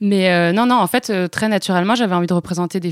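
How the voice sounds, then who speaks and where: In a plain, everyday voice, a woman speaks at a fairly low pitch with ordinary variation, in a very clean recording with a silent background and a dry, close sound with no echo. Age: 30s. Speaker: entrepreneur, accessories brand founder. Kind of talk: interview.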